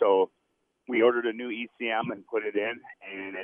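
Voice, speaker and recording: A man with an American accent has an unremarkable speaking voice. He keeps a moderate pace and fairly even intonation. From Minnesota, US Midwest. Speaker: caller. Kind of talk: phone-in question. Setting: phone call.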